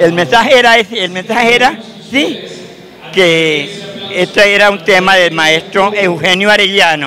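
A man's raised, projected voice, high in pitch, at a fairly slow pace with ordinary pitch variation and light background noise. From Colombia, Cundinamarca. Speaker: folk dance director and retired teacher. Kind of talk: TV interview. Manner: halting, repeats words.

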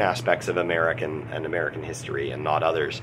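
At a moderate pace, a man speaks with light background noise present. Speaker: literature teacher. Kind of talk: lecture. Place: office. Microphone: phone near.

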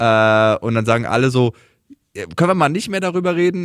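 Over a quiet background, a normal speaking voice with lively intonation moves at a moderate pace, its sound dry with no echo. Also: man. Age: 30s. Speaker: podcast host, comedian. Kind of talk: casual chat. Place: studio.

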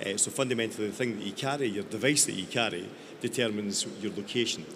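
A man speaks with a Scottish accent at a fairly low pitch. Noticeable background noise runs behind him. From Scotland. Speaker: tech company founder. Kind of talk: panel discussion. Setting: stage with audience. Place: stage. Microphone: handheld.

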